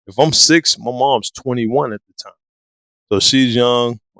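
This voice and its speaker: At a moderate pace, a man speaks in a normal speaking voice at a medium pitch. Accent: American. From US Midwest, Harvey, Illinois. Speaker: fitness coach and photographer. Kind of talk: interview storytelling.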